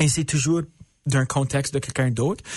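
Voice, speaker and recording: A man with a medium pitch and a dark, mellow tone sounds somewhat breathy, his intonation fairly even. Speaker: stand-up comedian. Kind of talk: casual interview chat. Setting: radio studio, live on Instagram. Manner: French mixed with English phrases.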